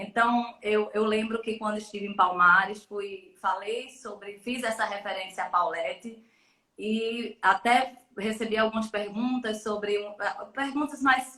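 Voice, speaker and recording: A woman speaks with a fairly high pitch. Her pace is fairly slow and her intonation fairly even. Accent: Pernambuco. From Pernambuco backcountry, Brazil (Bodocó). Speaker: electoral lawyer and professor. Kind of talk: live-stream interview. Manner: talkative, many hesitations and repetitions.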